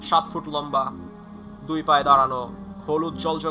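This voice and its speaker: Music plays in the background while a man speaks. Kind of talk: horror story narration to camera, casual. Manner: conversational, with filler words.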